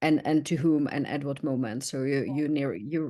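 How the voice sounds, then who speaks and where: Over a quiet background, a woman with a Czech accent speaks at a very deep, low pitch and a moderate pace in a dark, mellow tone. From Czech Republic. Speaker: learning experience manager. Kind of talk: podcast interview.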